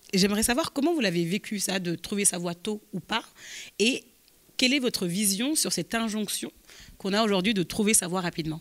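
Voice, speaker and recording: At a fairly quick pace, a woman talks with long, frequent pauses. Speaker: podcast host; podcast host, moderator. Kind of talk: live interview moderation. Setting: stage with audience. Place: hall. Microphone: handheld.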